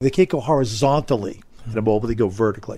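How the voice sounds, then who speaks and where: An American accent comes through in a man's somewhat breathy voice. His tone is dark and mellow, and his pace is fairly quick. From Massachusetts and Long Island, New York. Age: 70s. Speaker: retired teacher and lacrosse coach. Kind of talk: interview conversation. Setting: studio.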